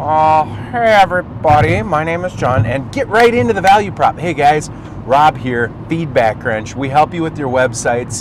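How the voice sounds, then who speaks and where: A man with a Minnesota accent speaks at a fairly high pitch with very wide pitch swings. Noticeable background noise is present. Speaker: marketing agency owner. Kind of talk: tutorial. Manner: fast; animated.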